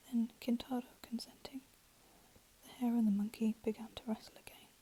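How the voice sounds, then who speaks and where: Whispering softly at a fairly quick pace, a woman's voice swings widely in loudness. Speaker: ASMR storyteller. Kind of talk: read fairy tale story. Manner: soft-spoken, whispered.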